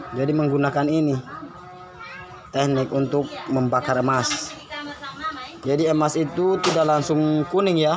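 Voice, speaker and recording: Against background music and audible room echo, a man speaks at a fairly high pitch with fairly even intonation, very even loudness and long, frequent pauses. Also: moderate pace. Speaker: vlogger, gold-processing mill owner. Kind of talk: casual vlog walkthrough. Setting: outdoors at a gold-processing mill, handheld camera.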